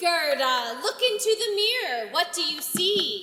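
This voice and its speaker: Delivered at a fairly slow pace, this put-on character voice sits at an extremely high pitch with a clear echo. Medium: stage play.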